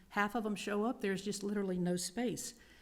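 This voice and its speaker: A woman's normal speaking voice at medium pitch, fairly quick in pace, with fairly even intonation. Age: 60s. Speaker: middle school teacher, public commenter. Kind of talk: public comment at school board meeting.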